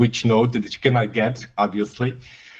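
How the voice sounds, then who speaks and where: A man with a Romanian accent speaks at a medium pitch and a moderate pace. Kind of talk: casual chat.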